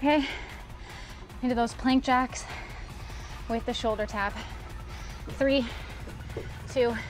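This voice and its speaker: Over clear music in the background, a woman with a high pitch speaks at a fairly slow pace in a monotone, flat intonation. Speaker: fitness instructor. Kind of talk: workout instruction. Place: garden.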